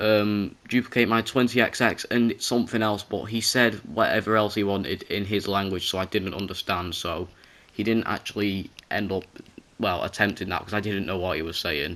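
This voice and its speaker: A man speaks at a moderate pace with a fairly low pitch. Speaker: gamer narrating gameplay video. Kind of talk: gameplay voiceover commentary. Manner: loud.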